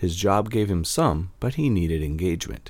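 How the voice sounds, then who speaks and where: In a playful tone, a man speaks at a moderate pace with very wide pitch swings. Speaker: poet and podcast host. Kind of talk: poem performed, rhyming story verse read aloud to listeners. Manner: steady rhythmic sing-song cadence, rhymes landing with playful emphasis.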